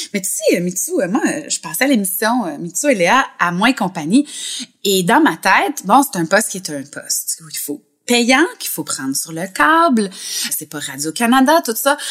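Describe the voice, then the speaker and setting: A woman with a Quebec accent speaks at a medium pitch and a fairly slow pace. Her voice shows very wide pitch swings and big swings in loudness. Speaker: libertine, podcast guest. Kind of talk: casual interview chat.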